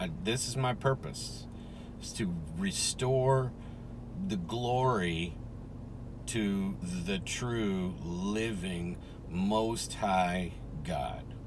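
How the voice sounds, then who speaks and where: Amid audible room echo, a man with a fairly low pitch talks at a very slow pace, his lively intonation set off by long, frequent pauses. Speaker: religious video preacher. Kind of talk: informal religious monologue. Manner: soft-spoken.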